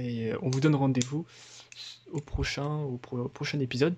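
The voice is a man's, pitched at a medium level. He speaks at a moderate pace. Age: 20s. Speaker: gaming youtuber. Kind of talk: gameplay commentary. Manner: hesitant, many fillers.

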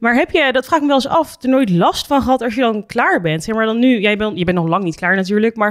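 A woman talks at a very fast pace with lively intonation and a fairly high pitch. The background is quiet. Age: 20s. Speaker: podcast host, reality TV contestant; podcast host. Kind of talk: casual interview. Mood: friendly, animated. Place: studio. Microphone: studio mic.

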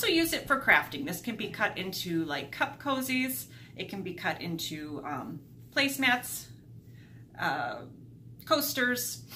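With light background noise, a woman talks at a fairly slow pace with long, frequent pauses and very wide pitch swings. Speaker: thrift haul vlogger. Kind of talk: casual vlog chat. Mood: cheerful, upbeat. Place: home room. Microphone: camera far.

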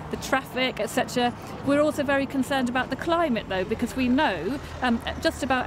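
Speech comes at a fairly quick pace in a dry sound with no echo, over noticeable background noise. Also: woman. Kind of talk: interview answer. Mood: concerned but calm. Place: street. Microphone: camera far.

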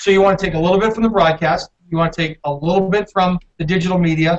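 A man's high-pitched voice at a very fast pace with fairly even intonation. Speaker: football team sales executive. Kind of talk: video call panel interview. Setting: video call from building common area. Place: home room. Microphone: video call.

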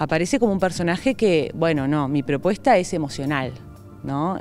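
Faint music plays in the background of this dry recording with no echo, where the speech moves at a moderate pace. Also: woman. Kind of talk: interview answer. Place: hall. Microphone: handheld.

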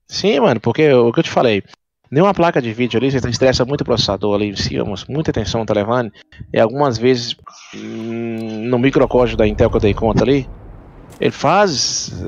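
A man with a medium-pitched voice and ordinary pitch variation talks at a fairly quick clip. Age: 30s. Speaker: gaming streamer. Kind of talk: live gameplay chat. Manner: animated.

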